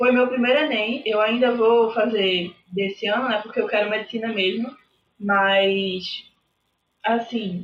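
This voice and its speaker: Her speech comes at a fairly slow pace with long, frequent pauses. The woman's fairly high voice shows ordinary pitch variation. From Recife, Pernambuco, Brazil. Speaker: university student sharing exam experience. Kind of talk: casual interview.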